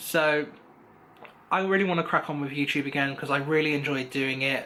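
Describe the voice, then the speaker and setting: With an English accent, a man speaks in a fairly high pitch with fairly even intonation. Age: 20s. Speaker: vlogger. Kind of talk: casual vlog monologue. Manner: fast; rambling, filler-heavy.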